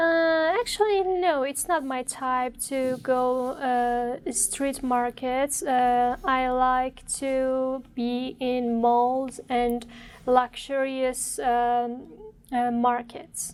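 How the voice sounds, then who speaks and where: Her pitch high and its variation ordinary, a woman talks at a very slow pace. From Germany, Frankfurt. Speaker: exam candidate. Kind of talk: exam interview. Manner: halting, many fillers.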